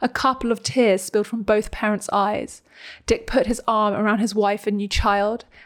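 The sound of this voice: Fairly even intonation marks an unforced reading voice here.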